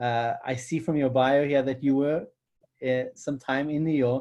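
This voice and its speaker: In a South African accent, the speaker keeps a moderate pace. The background is quiet. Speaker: co-founder and interviewer. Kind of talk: interview.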